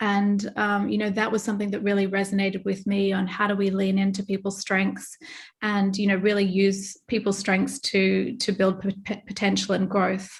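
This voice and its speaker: A somewhat breathy, monotone voice with flat intonation, very even loudness, and a moderate pace. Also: woman, medium pitch for a woman. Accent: Australian. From Australia. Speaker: retail merchandising executive. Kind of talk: interview.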